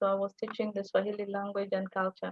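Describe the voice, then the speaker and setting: A woman with a fairly high voice speaks in a Somali accent. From Kenya, Garissa (northeastern). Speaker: language teaching assistant. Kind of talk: live Q&A on video call.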